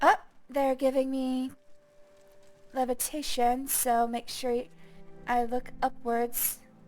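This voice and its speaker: A woman's high-pitched, relaxed voice at a very slow pace, monotone and flat, with long, frequent pauses and music in the background. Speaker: game streamer. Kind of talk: casual chat. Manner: relaxed, unpolished.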